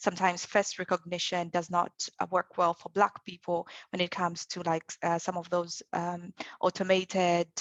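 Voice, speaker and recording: A woman speaks with an African accent. Her pitch is medium, and her pace is moderate. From Zambia. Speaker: developer advocate. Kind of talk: panel discussion.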